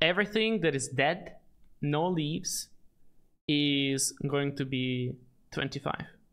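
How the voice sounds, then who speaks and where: A non-native accent comes through in a very clean recording with a silent background. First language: not English. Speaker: gaming streamer. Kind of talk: live stream chat and tutorial. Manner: hesitant, many fillers.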